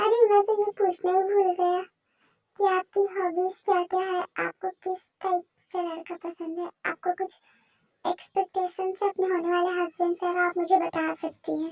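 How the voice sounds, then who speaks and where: A squeaky, put-on character voice at a moderate pace. The sound is dry and close, with no echo. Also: woman. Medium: fan dub. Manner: polite, measured.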